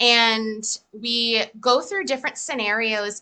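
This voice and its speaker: A woman with an American accent has an unremarkable speaking voice. Her pitch is fairly high, with ordinary pitch variation. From Massachusetts. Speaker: EFT practitioner. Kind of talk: casual interview.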